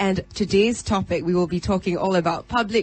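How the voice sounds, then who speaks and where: At a moderate pace, a woman speaks at a medium pitch in a normal speaking voice. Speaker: radio host. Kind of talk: live radio panel show hosting.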